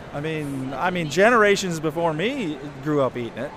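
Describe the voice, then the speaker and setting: A man at a fairly high pitch amid noticeable background noise. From southern Indiana. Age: 50s. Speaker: pretzel company owner. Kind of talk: interview.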